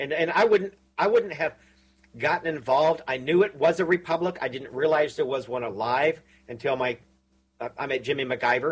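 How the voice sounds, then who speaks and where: A man with a fairly high pitch and ordinary pitch variation sounds somewhat breathy. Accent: Texan. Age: 60s. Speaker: radio host. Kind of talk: casual chat.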